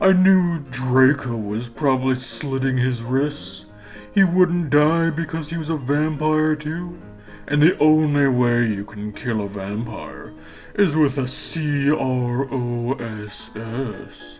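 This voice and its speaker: The voice sits at a low-to-middle pitch and moves at a fairly slow pace. Clear music plays in the background. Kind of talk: comic mock-earnest reading. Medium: solo performance. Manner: wry, laughing.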